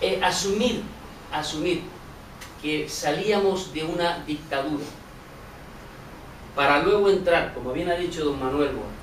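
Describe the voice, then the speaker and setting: With noticeable background noise and audible room echo, a man with a high pitch and ordinary pitch variation speaks at a fairly slow pace, leaving long, frequent pauses. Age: 60s. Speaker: audience member asking a question. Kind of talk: public question from the floor.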